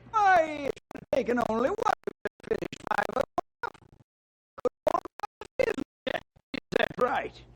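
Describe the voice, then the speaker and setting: A high-pitched put-on character voice, fairly slow, with very wide pitch swings and long, frequent pauses. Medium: old radio play. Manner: folksy, chuckling.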